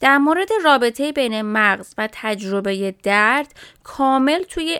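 Lively in intonation, a woman speaks with a bright, sharp tone in a dry, close sound that has no echo. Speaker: chiropractor and health podcast host. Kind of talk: casual educational talk.

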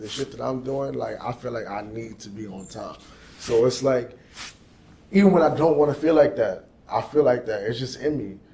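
A man speaks at a moderate pace with big swings in loudness, over noticeable background noise. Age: young. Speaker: sales agent and musician. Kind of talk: casual interview.

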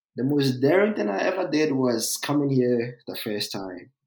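With a Ghanaian accent, a man speaks at a fairly slow pace. His pitch variation is ordinary. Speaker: test engineer, recent graduate. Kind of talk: casual interview conversation. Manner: hesitant, filler words.

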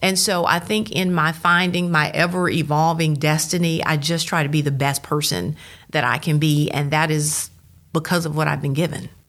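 At a moderate pace, a woman speaks in a Southern US accent with very deep, low pitch. Her intonation is monotone and flat, and her loudness very even. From Mississippi, Starkville. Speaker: TV news journalist and lecturer. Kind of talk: interview conversation.

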